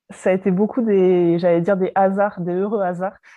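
A woman with an unremarkable speaking voice talks with fairly even intonation. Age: 30s. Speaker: pharmacist turned entrepreneur. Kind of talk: casual interview.

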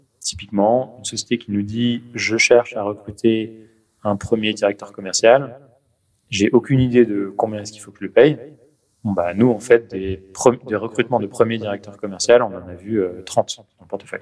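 This man has an ordinary speaking voice at medium pitch, moving at a moderate pace. His intonation stays fairly even while his loudness swings widely. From Paris, France. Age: 30s. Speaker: venture capital investor. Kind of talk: interview.

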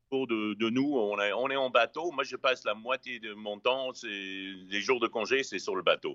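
At a fairly slow pace and with hardly any pauses, a man talks at a medium pitch with ordinary pitch variation. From US West Coast, Los Angeles. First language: English (speaking French). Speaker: chef. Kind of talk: casual interview. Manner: halting, many repetitions.

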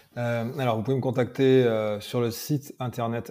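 A man's dark, mellow voice at medium pitch and a very slow pace. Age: 30s. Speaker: mental performance coach and MMA trainer. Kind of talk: casual interview.

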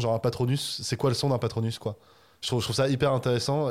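Speaking at a very fast pace, a man keeps his intonation monotone and flat. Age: 20s. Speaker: video essayist. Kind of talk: casual chat.

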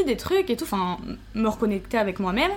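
The voice is somewhat breathy, with lively intonation. It moves at a very fast pace. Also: woman. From southern France. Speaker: Instagram influencer. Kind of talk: casual chat.

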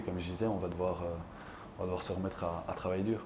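There is audible room echo around the man speaking here. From Belgium. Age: 30s. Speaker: field hockey player. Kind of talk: casual chat.

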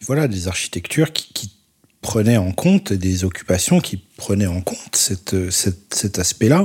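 A man speaks at a fairly low pitch in a dark, mellow tone. He sounds somewhat breathy and moves at a fairly slow pace. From Paris, France. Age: 40s. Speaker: photographer. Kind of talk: interview monologue. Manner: halting, many hesitations.

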